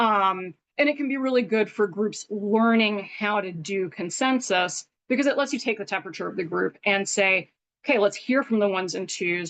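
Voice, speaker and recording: A woman's voice of medium pitch with ordinary pitch variation. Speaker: workshop presenter. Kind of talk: online workshop lecture. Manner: fast.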